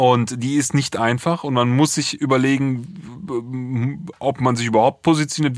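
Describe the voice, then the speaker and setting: Pitch moves in an ordinary way. The speed is moderate. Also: man. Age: 30s. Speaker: music producer, podcast co-host. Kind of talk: casual album review chat.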